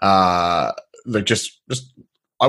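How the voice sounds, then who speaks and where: This is a man with an Australian accent. His pitch is fairly low. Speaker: podcast host, agency software founder. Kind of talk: casual interview chat.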